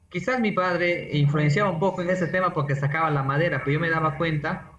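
Speaking at a moderate pace, a man's fairly high voice moves with ordinary pitch variation, with audible room echo and noticeable background noise around him. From Peruvian Amazon, San Martín (Moyobamba). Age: 40s. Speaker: environmental engineer. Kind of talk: interview.

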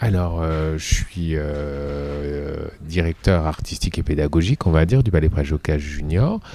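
Against noticeable background noise, a man with a very deep, low pitch speaks at a fairly slow pace. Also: ordinary pitch variation, hardly any pauses. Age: 40s. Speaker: dance teacher and choreographer. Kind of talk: interview. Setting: dance venue.

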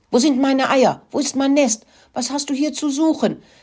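Cackling in a put-on character voice, the speaker uses a high pitch at a moderate pace. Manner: wild, cackling.

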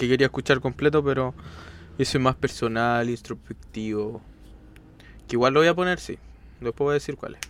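Long, frequent pauses break up a man's fairly quick speech, which sits at a medium pitch with ordinary pitch variation. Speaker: podcast co-host. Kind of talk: casual chat.

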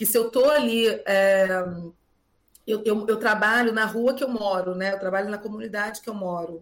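With a normal speaking voice, a woman talks at a fairly high pitch and a moderate pace, keeping her intonation fairly even. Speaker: schoolteacher. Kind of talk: interview.

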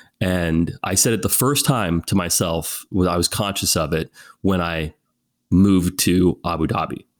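A man's very deep, low voice with a West Coast American accent and ordinary pitch variation, dry and close with no echo, on a very clean recording over a silent background. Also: moderate pace. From Northern California, US. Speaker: film and television producer. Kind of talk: casual interview.

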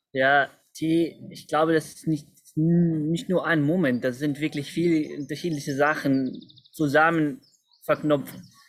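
Speaking at a very slow pace with an Arabic accent, the voice keeps a fairly even intonation. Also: man, fairly high pitch for a man. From Palestine, Nablus. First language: Arabic (speaking German). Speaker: community volunteer and youth worker. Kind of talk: casual interview chat. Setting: video call, outdoors. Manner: halting, many fillers.

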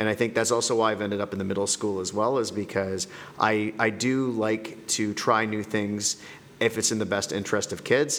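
Over noticeable background noise, a man with a Canadian accent speaks at a moderate pace in a fairly low, monotone, flat voice. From Canada. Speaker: middle school principal. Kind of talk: podcast interview.

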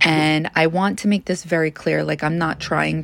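A woman with a Long Island accent speaks at a fairly slow pace in a very deep, low pitch. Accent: New York (Long Island). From US, Long Island, New York. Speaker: psychic podcaster. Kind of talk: casual monologue.

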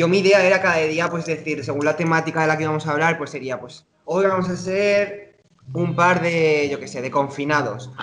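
With an ordinary speaking voice, a man talks at a moderate speed, his pitch fairly high and its variation ordinary. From Spain (Zaragoza, Aragon). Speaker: podcast co-host, dancer. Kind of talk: casual chat.

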